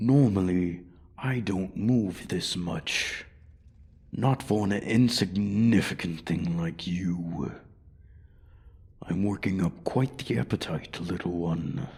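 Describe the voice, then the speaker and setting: Putting on a character voice, a man speaks with very deep, low pitch at a fairly slow pace, leaving long, frequent pauses. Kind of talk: ASMR roleplay audio. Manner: menacing, taunting.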